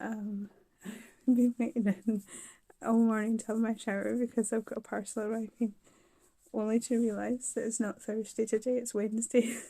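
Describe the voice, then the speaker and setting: A woman's somewhat breathy voice, fairly high in pitch and dark, mellow in tone, moves at a moderate pace with monotone, flat intonation. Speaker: vlogger recovering from surgery. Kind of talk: casual video diary.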